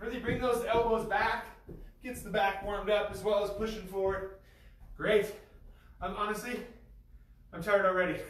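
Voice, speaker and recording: In a room with audible echo, a man speaks at a high pitch in a monotone, flat intonation, leaving long, frequent pauses. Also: moderate pace. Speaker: fitness coach. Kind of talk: workout instruction. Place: gym.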